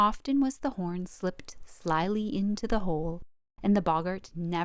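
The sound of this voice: In an unforced reading voice, the speaker reads with lively intonation.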